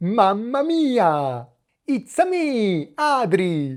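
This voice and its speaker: Very slowly, a female-sounding cartoonish character voice in an Italian accent swings very widely in pitch from a fairly high base. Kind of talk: exaggerated, cartoonish.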